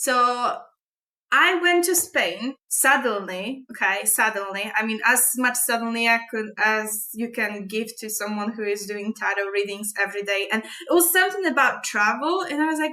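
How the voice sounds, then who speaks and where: A woman with a Polish accent speaks at a fairly high pitch. Her pace is moderate and her intonation lively. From Poland. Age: 30s. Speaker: astrology and tarot vlogger. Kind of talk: casual monologue. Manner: halting.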